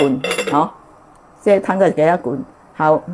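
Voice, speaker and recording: Noticeable background noise sits behind a woman speaking at a moderate pace. Her intonation is lively. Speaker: cooking show host. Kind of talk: cooking tutorial; testimony. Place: kitchen. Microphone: lapel.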